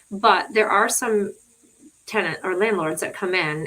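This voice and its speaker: A plain, everyday voice talks at a fairly quick pace. The pitch variation is ordinary. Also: woman. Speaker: attorney. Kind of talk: live stream tutorial. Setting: live stream from laptop. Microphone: laptop audio, no sound at start.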